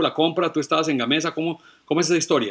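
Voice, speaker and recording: A man's fairly high, bright, sharp voice at a very fast pace, on a very clean recording with a silent background. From Colombia. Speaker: podcast host. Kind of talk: interview conversation.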